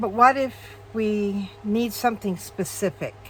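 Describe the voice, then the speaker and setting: A woman is speaking. Her pitch is medium. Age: 60s. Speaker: crafting video creator. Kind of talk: casual tutorial. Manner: chatty, with frequent fillers.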